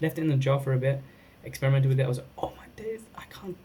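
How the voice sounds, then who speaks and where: A man talks at a very fast pace. His voice is somewhat breathy, with a dark, mellow tone. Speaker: cannabis product reviewer. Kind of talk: casual vlog review. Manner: halting, many false starts.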